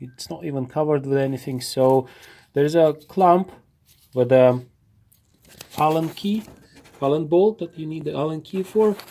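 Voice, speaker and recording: Long, frequent pauses break up this speech delivered with a non-native accent. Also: moderate pace. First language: not English. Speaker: car repair video maker. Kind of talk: tutorial. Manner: halting.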